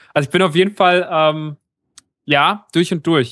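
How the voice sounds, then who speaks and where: Pitched fairly high, a man talks with fairly even intonation. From Germany, rural area. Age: 30s. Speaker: podcaster. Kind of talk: casual chat. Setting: remote call.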